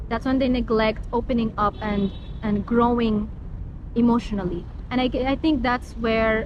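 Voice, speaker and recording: A woman speaks with a Middle Eastern accent. Her pitch is fairly high and her pace moderate. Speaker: interviewee, foreign student. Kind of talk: street interview. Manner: bold, expressive.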